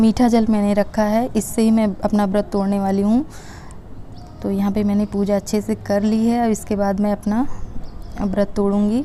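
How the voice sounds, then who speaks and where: A woman's medium-pitched voice, monotone and flat, at a fairly slow pace with very even loudness. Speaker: vlogger, housewife. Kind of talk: casual vlog narration. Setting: at home, kitchen and shrine.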